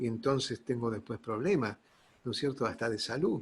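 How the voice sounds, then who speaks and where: A man speaks with a Rioplatense accent at medium pitch. His voice is somewhat breathy. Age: 60s. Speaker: pastor. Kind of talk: sermon. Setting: online church service. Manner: halting.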